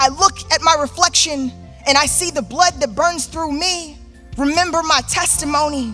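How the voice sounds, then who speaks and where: Music plays behind a woman speaking at a moderate pace in a raised, projected voice. Her pitch is high, with ordinary variation. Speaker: spoken word artist. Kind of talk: spoken word poetry performance. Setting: live theater stage.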